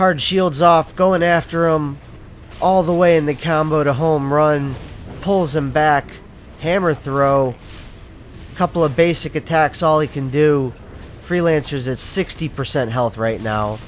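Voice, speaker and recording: Noticeable background noise surrounds a man with a fairly high pitch who talks at a fairly slow pace with long, frequent pauses. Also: ordinary pitch variation. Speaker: gameplay commentator. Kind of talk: sports-style play-by-play calling.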